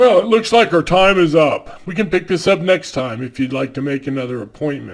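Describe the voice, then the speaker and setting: A man speaks in a put-on character voice. He moves at a fairly quick pace with hardly any pauses. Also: fairly high pitch for a man. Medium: comedy sketch. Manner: measured, calm, clinical.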